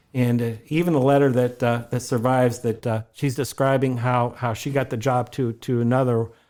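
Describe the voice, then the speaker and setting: A man's medium-pitched voice with a northeast Ohio accent, a dark, mellow tone, flat monotone delivery and a fairly quick pace, on a very clean recording with a silent background. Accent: Midwestern American (northeast Ohio). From Ohio, US (Warren). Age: 60s. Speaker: local museum historian. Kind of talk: podcast interview. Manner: halting, many repetitions and fillers.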